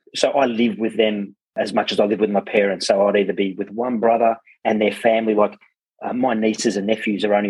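With an Australian accent, the speaker rattles along at a very fast pace in monotone, flat intonation. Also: man. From Australia, Werribee (Melbourne). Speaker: plumbing business founder. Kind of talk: interview. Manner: halting.

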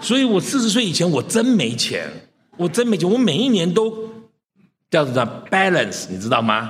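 The speaker's pitch swings very widely at a moderate pace, broken by long, frequent pauses. Room echo is audible. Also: man, high pitch for a man. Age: 60s. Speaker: preacher. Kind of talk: sermon.

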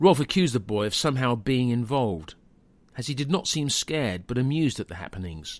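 A man at medium pitch, very wide pitch swings, a very fast pace, and a very clean recording over a silent background. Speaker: podcast narrator.

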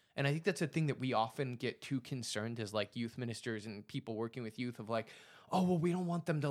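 A man's plain, everyday voice, medium in pitch with ordinary variation, at a fairly quick pace. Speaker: podcast co-host. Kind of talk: casual chat.

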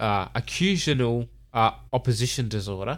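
A man with an Australian accent. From Melbourne, Australia. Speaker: podcast host. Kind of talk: casual chat. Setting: home recording.

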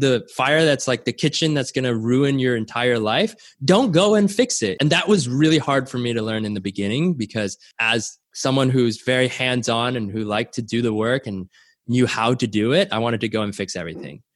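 Medium-pitched male speech at a moderate pace with lively intonation. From Canada. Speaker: startup co-founder and tech executive. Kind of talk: interview. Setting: video call from home. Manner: animated.

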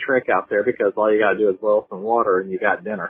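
A man speaks with an American accent. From North Carolina. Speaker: caller. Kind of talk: voicemail message. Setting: phone voicemail.

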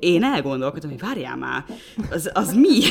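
A woman's medium-pitched voice at a very fast pace, amid noticeable background noise. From Hungary, Szolnok. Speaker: podcast co-host. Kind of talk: casual chat.

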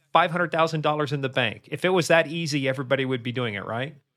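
Speaking very rapidly, this man has an American accent. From Kansas. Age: 60s. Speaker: cybersecurity expert. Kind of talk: interview.

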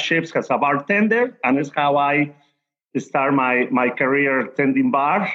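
A man is speaking here. His pitch is fairly high, with ordinary variation. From Mexico City. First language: Spanish. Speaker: tequila brand ambassador. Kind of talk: casual chat. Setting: video call.

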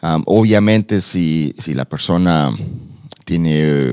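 Very deep and low in pitch, a man speaks with ordinary pitch variation in a dry, close sound with no echo. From tropical Latin American country. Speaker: police department community liaison. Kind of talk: informational interview.

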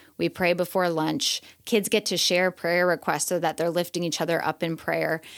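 The speaker talks at a moderate pace with fairly even intonation and some vocal fry. The recording is very clean, with a silent background. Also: woman, fairly low pitch for a woman. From US Midwest, Chicago suburbs. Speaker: teacher. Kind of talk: interview conversation.

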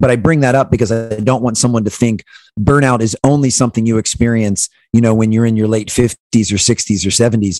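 A man with an American accent speaks in an unremarkable speaking voice at a medium pitch and a fairly quick pace, with fairly even intonation and very even loudness. The recording is very clean and dry, close with no echo, over a silent background. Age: 40s. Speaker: keynote speaker and former basketball performance coach. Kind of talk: interview.

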